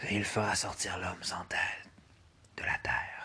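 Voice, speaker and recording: A put-on character voice, raspy in texture, moves at a moderate pace. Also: man. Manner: ominous, solemn warning.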